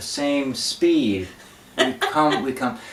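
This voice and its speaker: Noticeable background noise and audible room echo accompany a man who speaks at a very slow pace. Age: 60s. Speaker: folk singer and show host. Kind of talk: casual chat. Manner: halting.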